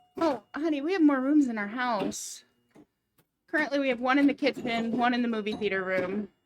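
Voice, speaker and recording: Quiet and high-pitched, a woman talks at a fairly quick pace with lively intonation. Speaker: pinball streamer. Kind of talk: casual chat on a live game stream. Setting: home game room, live stream.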